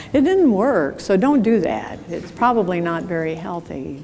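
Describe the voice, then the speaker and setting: Amid noticeable background noise and audible room echo, a woman speaks at medium pitch and a moderate pace. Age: 70s. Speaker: keynote speaker. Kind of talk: conference keynote talk. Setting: stage with audience. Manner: conversational, engaging with audience.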